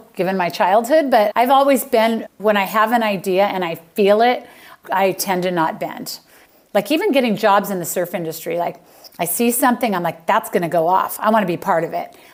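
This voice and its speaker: An animated woman of medium pitch with lively intonation at a fairly quick pace, over noticeable background noise. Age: 60s. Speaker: interior designer. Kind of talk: interview conversation.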